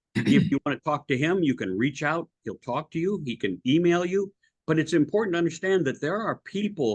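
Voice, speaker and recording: A man with an American accent, speaking at a very fast pace. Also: dry, close sound with no echo. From US Midwest, Iowa. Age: 70s. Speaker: podcast host. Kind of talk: interview.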